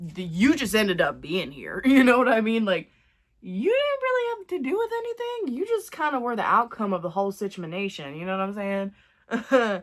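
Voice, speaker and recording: A woman's lively intonation carries along at a moderate pace. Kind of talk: casual get-ready-with-me talk to camera. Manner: chatty, rambling.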